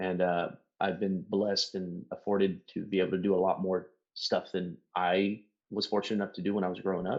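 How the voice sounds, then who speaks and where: A man speaks at a fairly quick clip in a very deep, low voice. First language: Spanish. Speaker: executive protection agent and media company co-owner. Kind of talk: casual podcast chat. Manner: casual, animated.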